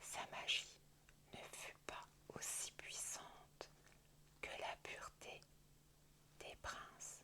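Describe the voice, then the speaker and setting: A woman whispers at a very slow pace. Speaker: ASMR creator. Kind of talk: whispered bedtime story reading. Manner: whispered, soft.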